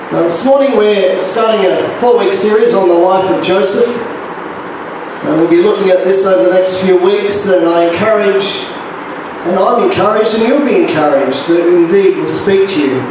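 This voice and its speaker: A high-pitched man at a moderate pace with ordinary pitch variation, in strong room echo and noticeable background noise. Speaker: pastor. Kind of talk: sermon and notices. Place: church.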